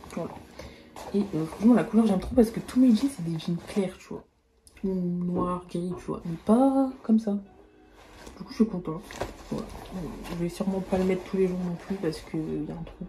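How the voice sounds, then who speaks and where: A woman of medium pitch speaks at a moderate pace with long, frequent pauses, big swings in loudness and ordinary pitch variation, against noticeable background noise. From rural France. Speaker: fashion YouTuber. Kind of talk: try-on haul vlog. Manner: casual, chatty.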